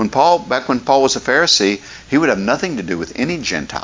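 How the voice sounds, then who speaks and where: A man with an Appalachian accent talks very fast with lively intonation. Noticeable background noise runs underneath. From West Virginia, McDowell County. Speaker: pastor. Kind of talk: sermon.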